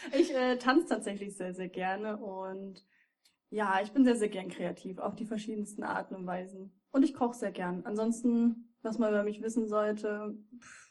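An ordinary speaking voice from a woman, fairly high-pitched, at a moderate pace with ordinary pitch variation and big swings in loudness. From Thuringia, Germany. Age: 20s. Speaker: streamer. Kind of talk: casual chat.

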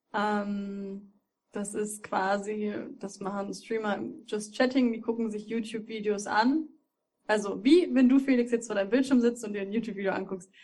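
This woman's voice is somewhat breathy, with a fairly high pitch and a dark, mellow tone. She talks at a fairly quick pace with fairly even intonation. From Thuringia, Germany. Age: 20s. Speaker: streamer. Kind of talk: casual chat.

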